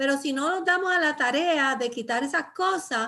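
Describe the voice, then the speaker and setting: A woman projects her voice at a high pitch with a bright, sharp tone. Her intonation is lively and her pace moderate. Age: 60s. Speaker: pastor and Bible teacher. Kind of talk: Bible study teaching. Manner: halting, many fillers.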